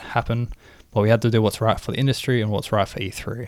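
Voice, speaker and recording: Fairly even intonation and an Australian accent come through on a very clean recording with a silent background. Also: man. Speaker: video game podcast co-host. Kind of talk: casual chat.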